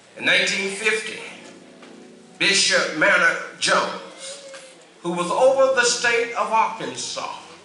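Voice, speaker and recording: A man speaks at a very slow pace, with audible room echo and faint music in the background. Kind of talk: formal address on church history. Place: church. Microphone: podium.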